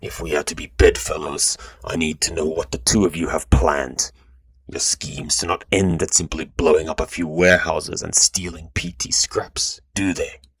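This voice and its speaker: A put-on character voice from a man, very deep and low in pitch, at a moderate pace. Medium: read story. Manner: measured, pressing.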